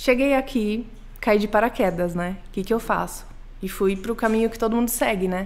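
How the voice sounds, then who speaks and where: At a fairly quick pace, a woman speaks in a normal speaking voice with a fairly high pitch and fairly even intonation. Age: 20s. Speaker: botanical artist. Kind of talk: casual interview chat.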